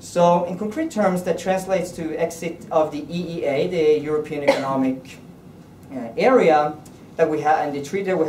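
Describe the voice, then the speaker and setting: Speaking at a moderate pace, a man with a Norwegian accent has a fairly high pitch. Audible room echo and noticeable background noise fill the recording. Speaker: politician. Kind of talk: political speech. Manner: halting.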